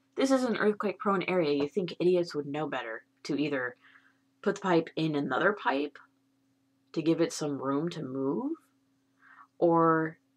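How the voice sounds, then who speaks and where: This woman's pitch is very deep and low. Her intonation is lively. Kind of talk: casual talk to camera.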